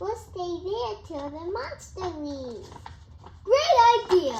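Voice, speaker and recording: A woman does a squeaky, put-on character voice with very wide pitch swings, heard with a slight echo and clear background noise. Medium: stage play. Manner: authoritative.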